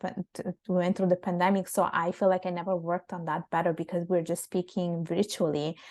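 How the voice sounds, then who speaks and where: Against a quiet background, a soft-spoken woman talks very fast at a medium pitch, with hardly any pauses and flat, monotone intonation. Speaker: public speaking coach, women's platform founder. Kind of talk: interview. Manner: halting, with many fillers and restarts.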